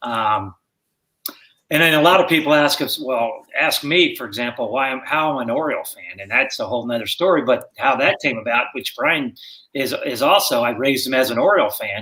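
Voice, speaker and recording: A man's fairly high, bright, sharp voice at a fairly quick pace, with ordinary pitch variation. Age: 60s. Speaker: guest, father of co-host. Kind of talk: casual chat. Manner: halting.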